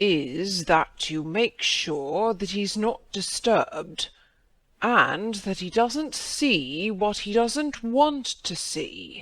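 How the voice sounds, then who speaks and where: In a very clean recording with a silent background, a man puts on a husky character voice at a high pitch, with very wide pitch swings and a very slow pace. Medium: read story.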